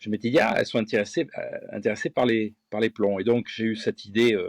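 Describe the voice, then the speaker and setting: At a medium tempo, a male voice comes across dry and close-miked, without any echo. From France, Gironde (Bègles, near Bordeaux). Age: 50s. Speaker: fishing lure designer and angling guide. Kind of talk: interview.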